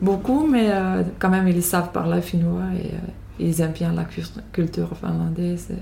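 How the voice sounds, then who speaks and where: The woman speaks at a moderate pace. Audible room echo surrounds her voice. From Finland. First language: Finnish (speaking French). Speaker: immigrant interviewee. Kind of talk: interview. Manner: halting.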